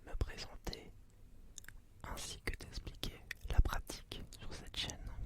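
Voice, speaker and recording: A man whispers. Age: 20s. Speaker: ASMR creator. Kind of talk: ASMR channel introduction. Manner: whispered.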